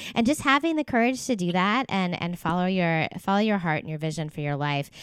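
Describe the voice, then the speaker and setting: A plain, everyday voice speaks at a fairly quick pace with an American accent. The recording is very clean, with a silent background. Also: woman. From US East Coast. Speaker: podcast host, physical therapist. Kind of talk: casual interview.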